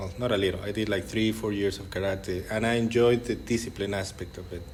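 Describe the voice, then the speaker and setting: Audible room echo surrounds a man with a Mexican accent talking at a fairly quick pace in a fairly low voice with fairly even intonation. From Mexico, Monterrey. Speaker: jiu-jitsu coach. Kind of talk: podcast interview.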